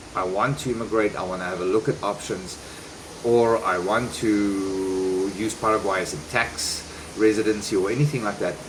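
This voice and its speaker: A man with a fairly low pitch speaks at a moderate pace and fairly even intonation. Noticeable background noise sits behind him. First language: not Spanish. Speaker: vlogger and relocation service provider. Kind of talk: casual vlog talk.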